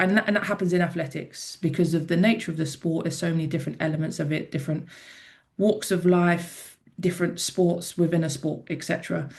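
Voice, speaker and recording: Somewhat breathy, a woman speaks at a fairly quick pace in a fairly low pitch with fairly even intonation. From South London, England. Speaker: former rugby player and athlete. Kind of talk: podcast interview. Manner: casual.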